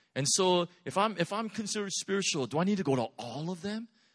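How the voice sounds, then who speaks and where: A high-pitched man at a fairly quick pace against a quiet background. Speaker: pastor. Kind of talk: sermon. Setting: church.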